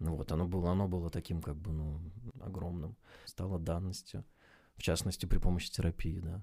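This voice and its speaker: A man's very deep, low, dark and mellow voice at a fairly quick pace, fairly even in intonation, with long, frequent pauses on a very clean recording against a silent background. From Russia, rural village. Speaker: podcast co-host. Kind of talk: casual chat. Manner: halting.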